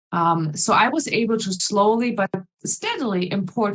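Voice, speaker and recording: A woman speaks at a moderate pace with a fairly high pitch and lively intonation. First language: not English. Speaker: English teacher, conference speaker. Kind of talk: conference presentation.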